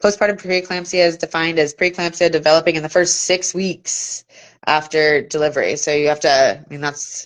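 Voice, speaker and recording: Against a quiet background, a woman speaks at a fairly quick pace. Her pitch is fairly low and her intonation fairly even. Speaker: midwife and birth educator. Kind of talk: live-streamed lecture. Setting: live social media video stream. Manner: fast.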